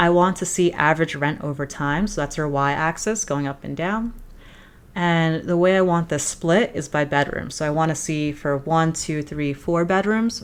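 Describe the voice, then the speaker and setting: A woman speaks at a fairly low pitch in an unremarkable speaking voice. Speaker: data analytics educator. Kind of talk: tutorial.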